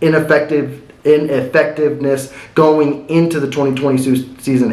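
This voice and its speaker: A man speaks with an American accent at a fairly high pitch. The room echo is audible, and there is noticeable background noise. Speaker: sports commentary youtuber. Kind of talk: casual sports commentary monologue. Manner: fast.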